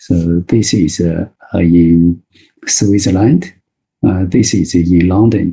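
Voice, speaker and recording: This man's voice is very deep and low in pitch, with a dark, mellow, somewhat breathy tone. He speaks very slowly with long, frequent pauses, fairly even intonation and very even loudness. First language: Mandarin Chinese. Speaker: Chinese medicine doctor and teacher. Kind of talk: webinar lecture. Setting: online webinar. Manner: halting, many fillers.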